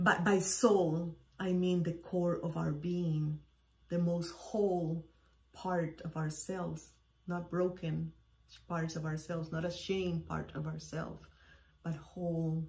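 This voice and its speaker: A woman's fairly low voice with a Spanish accent, flat and monotone, at a very slow pace. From Cuba. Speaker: podcast host. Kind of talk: personal storytelling monologue.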